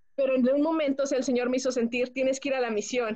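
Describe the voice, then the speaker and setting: High pitch and a dark, mellow tone from a woman. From Mexico, Pachuca, Hidalgo. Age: 20s. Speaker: homemaker. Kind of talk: testimony.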